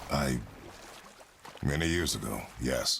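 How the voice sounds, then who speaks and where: Someone speaks in a put-on character voice with a raspy sound. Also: man, very deep, low pitch for a man. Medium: video game. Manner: terse, stern.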